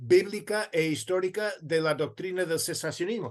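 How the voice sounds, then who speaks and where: The background stays quiet. A man's pitch rises and falls in an ordinary way. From United States. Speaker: theology professor and author. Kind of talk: interview.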